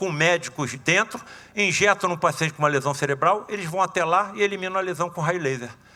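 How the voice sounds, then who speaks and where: Noticeable background noise sits behind a man whose voice is high for a man. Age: 70s. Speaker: surgeon and spiritist lecturer. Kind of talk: lecture. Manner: casual, animated.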